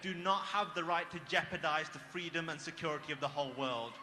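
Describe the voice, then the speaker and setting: A high-pitched man with a British accent, fairly quick in pace, with ordinary pitch variation and noticeable background noise. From Britain. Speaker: former extremist turned activist speaker. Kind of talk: speech at a rally. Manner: impassioned.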